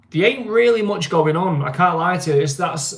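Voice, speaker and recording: With noticeable background noise behind him, a man talks in a high pitch and swings his pitch very widely. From northern England, Greater Manchester. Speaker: livestream host. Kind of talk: casual livestream chat. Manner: casual, hesitant with many fillers.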